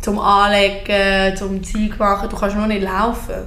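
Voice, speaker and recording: Noticeable background noise and audible room echo surround the voice. A woman with a medium pitch talks at a fairly slow pace. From Aargau, Switzerland. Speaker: podcast guest. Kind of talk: casual chat.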